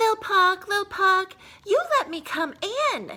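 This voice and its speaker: A put-on, squeaky character voice, female-sounding and extremely high-pitched, at a fairly slow pace. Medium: read story. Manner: smug, purring.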